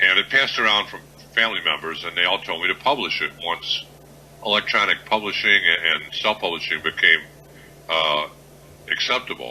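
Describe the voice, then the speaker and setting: In an American accent, the speaker uses lively intonation at a fairly quick pace, broken by long, frequent pauses, with noticeable background noise behind. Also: man, fairly low pitch for a man. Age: 60s. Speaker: author. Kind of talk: radio interview. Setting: radio show.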